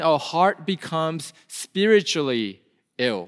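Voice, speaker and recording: A man with a Korean accent. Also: very clean recording, silent background. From South Korea. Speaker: pastor. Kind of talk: sermon. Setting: church.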